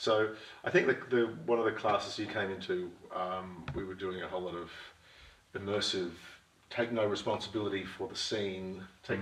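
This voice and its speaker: A man's fairly low voice at a moderate pace, with audible room echo. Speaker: interview guest, actor. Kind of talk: interview answer. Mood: reflective, thoughtful. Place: home room.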